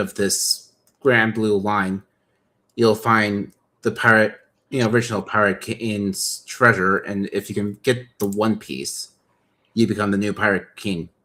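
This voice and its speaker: A man speaks in a normal speaking voice at a moderate pace, his fairly low pitch kept to fairly even intonation. The recording is very clean with a silent background. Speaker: toy model builder streamer. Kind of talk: casual chat. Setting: live stream.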